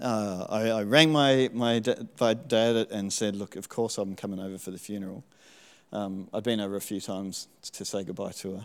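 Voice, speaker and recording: With an Australian accent, a man talks in a fairly low pitch and fairly even intonation on a very clean recording with a silent background. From Tasmania, Australia. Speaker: church member. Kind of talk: testimony.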